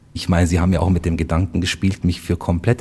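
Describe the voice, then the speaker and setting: In a dark, mellow tone, a man talks with a very deep, low pitch. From Bavaria (rural village near Munich). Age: 40s. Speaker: community volunteer and father. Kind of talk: interview conversation. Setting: mosque in Munich old town.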